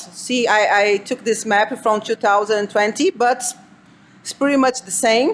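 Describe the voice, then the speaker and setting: A woman speaks with a Brazilian Portuguese accent at a fairly slow pace. Her pitch variation is ordinary, and noticeable background noise is present. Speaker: cybersecurity analyst. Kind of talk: conference talk.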